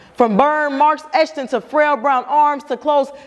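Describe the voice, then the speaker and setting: A woman with a high pitch and ordinary pitch variation speaks at a moderate pace over noticeable background noise. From Cincinnati. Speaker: spoken word artist. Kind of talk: spoken word performance. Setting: live stage.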